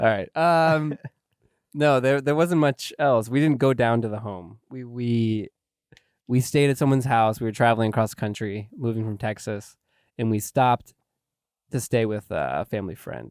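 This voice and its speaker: Recorded dry and close with no echo on a very clean, silent background, a man with an American accent speaks at a moderate pace and medium pitch with ordinary pitch variation. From US Pacific Northwest. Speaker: podcast guest. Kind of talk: casual chat.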